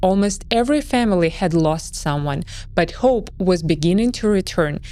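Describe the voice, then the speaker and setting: A woman speaks with a Russian accent. Her pitch swings very widely. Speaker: history documentary narrator. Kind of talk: scripted narration.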